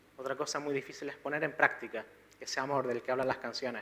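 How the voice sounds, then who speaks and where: A man speaks in a soft-spoken voice. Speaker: preacher. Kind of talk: sermon.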